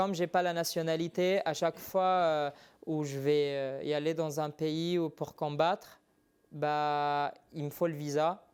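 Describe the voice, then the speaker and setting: Recorded very cleanly against a silent background, a man with a slight non-native accent speaks at a very slow pace in a monotone, flat intonation at a fairly high pitch. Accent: slight foreign accent in French. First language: not French (speaking French). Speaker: MMA fighter. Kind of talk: TV interview. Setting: TV studio. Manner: hesitant.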